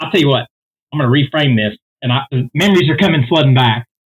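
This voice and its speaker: This man's voice is somewhat breathy. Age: 40s. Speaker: singer. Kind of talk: casual chat.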